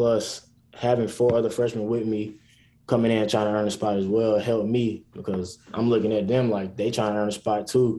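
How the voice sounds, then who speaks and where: A man with an American accent speaks in a dark, mellow tone. His fairly low pitch stays monotone and flat. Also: moderate pace. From South Carolina, US. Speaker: college basketball player. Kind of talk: interview.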